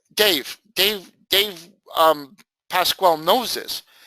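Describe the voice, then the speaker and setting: A man speaks loudly in a high pitch with an animated tone. The sound is dry and close, with no echo. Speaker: trading educator. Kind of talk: lecture.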